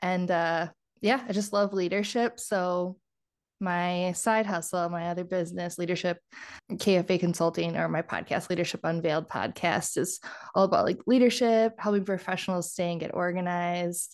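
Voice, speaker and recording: Against a quiet background, a woman with an Upper Midwest accent speaks at a moderate pace in a fairly low voice with fairly even intonation. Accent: Upper Midwest American. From US Midwest, southeast Wisconsin (Kenosha). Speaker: laboratory scientist and healthcare leader, podcaster. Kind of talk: casual interview chat. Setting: video call.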